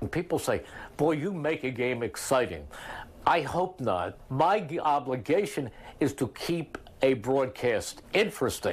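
With an American accent and vocal fry, a man speaks at a fairly slow pace with lively intonation. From United States, Philadelphia. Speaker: radio play-by-play announcer. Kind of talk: interview answer. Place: home room. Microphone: lapel.

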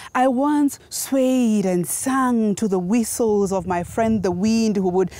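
Speaking very slowly, a woman uses lively intonation in a dark, mellow tone. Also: dry sound with no echo. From Kenya. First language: Gikuyu. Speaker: spoken word poet. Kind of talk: poetry performance. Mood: solemn, impassioned. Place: open country.

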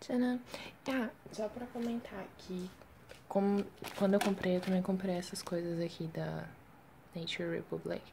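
Noticeable background noise runs under a woman speaking at medium pitch with ordinary pitch variation. She talks at a fairly slow pace, with long, frequent pauses. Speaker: K-pop fan vlogger. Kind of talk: unboxing video.

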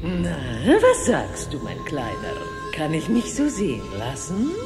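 A woman's cartoonish character voice, fairly low, with very wide pitch swings, at a fairly slow pace over clear background music

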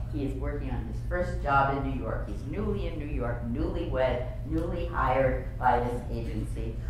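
A woman speaks at a moderate pace in a very deep, low voice with a flat, monotone delivery and hardly any pauses. Noticeable background noise and strong room echo fill the recording. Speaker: advertising executive and author. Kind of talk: luncheon keynote speech. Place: hall. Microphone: camera far.

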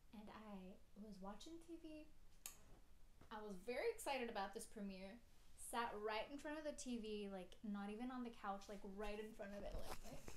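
Amid light background noise and audible room echo, a woman speaks at a fairly high pitch with ordinary pitch variation. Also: moderate pace. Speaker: YouTuber. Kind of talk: casual story time, told in a spooky first-person ghost story. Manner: animated, conversational, tense and uneasy, with self-conscious laughs. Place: home room. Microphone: phone near.

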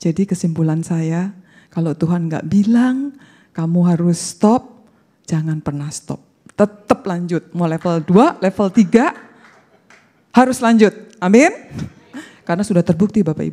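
A woman with a dark, mellow tone and a fairly low pitch speaks fairly slowly, leaving long, frequent pauses. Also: ordinary pitch variation. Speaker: bible college student; speaker. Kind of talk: testimony. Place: hall. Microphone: handheld.

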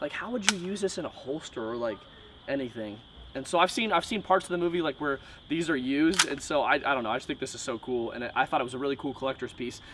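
The words rush by at a very fast pace while noticeable background noise is heard. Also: man, fairly high pitch for a man. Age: 20s. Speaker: YouTuber, airsoft product reviewer. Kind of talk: casual unboxing video monologue. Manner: casual, filler-heavy. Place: garden.

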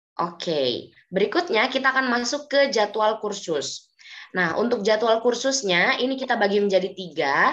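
The speaker talks at a moderate pace with lively intonation. The background is quiet. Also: woman. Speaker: German language teacher; presenter. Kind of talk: webinar presentation. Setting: video call. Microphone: video call.

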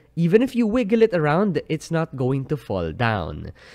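A man speaks at a moderate pace with very wide pitch swings. The background is quiet. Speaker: product reviewer. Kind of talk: product review commentary. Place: home room. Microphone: studio mic.

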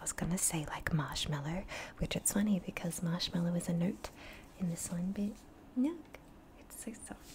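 A woman whispering, with big swings in loudness. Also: moderate pace. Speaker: beauty reviewer. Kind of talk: casual vlog chat. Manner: soft-spoken, hushed close-mic voice. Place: home room. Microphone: studio mic.

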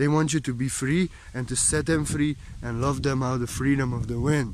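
A man at a moderate pace with fairly even intonation and long, frequent pauses, over noticeable background noise. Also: dry sound with no echo. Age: 30s. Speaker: spiritual teacher. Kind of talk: spiritual monologue. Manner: emotional, repetitive emphasis. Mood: calm, meditative, heartfelt. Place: forest. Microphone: phone near.

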